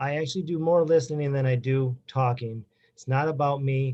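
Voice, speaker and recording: A man with an American accent speaks at a fairly high pitch, his voice somewhat breathy and his intonation fairly even. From Wisconsin. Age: 40s. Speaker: judicial candidate, lawyer. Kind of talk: closing statement at candidate forum. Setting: public forum. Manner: halting.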